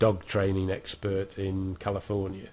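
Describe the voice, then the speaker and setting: In a British accent, a man speaks at a very slow pace with a very deep, low pitch. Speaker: internet marketing tutor. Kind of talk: screen-recorded tutorial. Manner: casual, with fillers and false starts.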